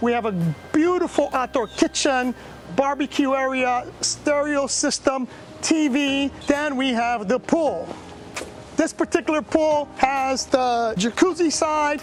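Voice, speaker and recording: A loud, animated woman's voice, high in pitch, at a fairly slow pace with ordinary pitch variation and noticeable background noise. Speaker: vacation rental host giving property tour. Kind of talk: video house tour.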